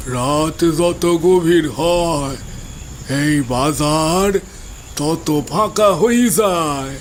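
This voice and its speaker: A cartoonish character voice from a man, fairly high in pitch and very slow, with clear background noise. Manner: menacing.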